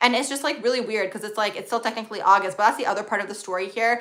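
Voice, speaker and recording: A woman talks at a very fast pace with hardly any pauses, her fairly high voice bright and sharp over fairly even intonation. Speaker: astrologer livestream host. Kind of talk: live stream Q&A, casual chat. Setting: live stream.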